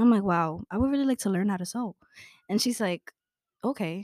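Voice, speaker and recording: Someone talks at a very fast pace in an American accent. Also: woman, dry, close sound with no echo. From New York City, Brooklyn. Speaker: college student. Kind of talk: casual chat.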